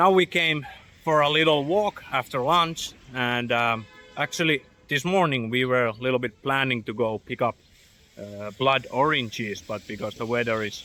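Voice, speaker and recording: Here a man speaks with a Finnish accent at a moderate pace. His medium pitch carries ordinary variation. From Finland. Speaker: travel vlogger. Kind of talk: casual travel vlog narration. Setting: outdoors on a walk. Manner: halting, with fillers.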